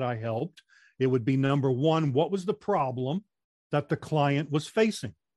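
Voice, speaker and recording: A man speaks at a moderate pace in a fairly high pitch, an unremarkable speaking voice. The sound is dry and close with no echo, over a quiet background. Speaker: retired military, radio and theater background, speaking coach. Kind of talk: casual interview.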